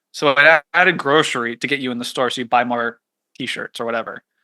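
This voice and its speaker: Against a quiet background, a man talks at a very fast pace in a bright, sharp tone, with a dry, close sound and no echo. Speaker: economist and author. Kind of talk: podcast interview. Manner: fast when excited.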